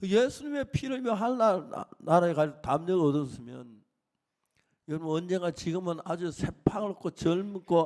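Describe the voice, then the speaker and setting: His intonation rises and falls in a lively way. This man's pitch is high. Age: 80s+. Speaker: pastor. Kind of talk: sermon.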